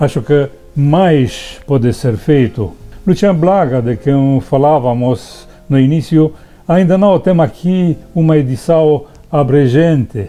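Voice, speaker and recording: A man with a Romanian accent, fairly high-pitched, at a very slow pace, with ordinary pitch variation and music in the background. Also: very even loudness. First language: Romanian (speaking Portuguese). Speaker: writer, poet. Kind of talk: prepared talk and poetry reading.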